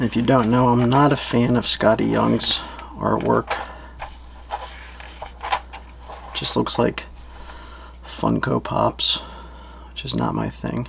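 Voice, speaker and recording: Soft-spoken and relaxed in tone, a man talks at a very slow pace with long, frequent pauses over noticeable background noise. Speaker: professional wrestler and comic book seller. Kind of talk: ASMR-style product narration, casual talk to camera. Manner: quiet, relaxed, reserved, soft-spoken.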